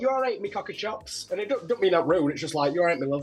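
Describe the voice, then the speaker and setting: Talking very fast, a man is heard through noticeable background noise. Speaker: drag queen, reality show contestant. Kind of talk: casual interview chat. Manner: animated.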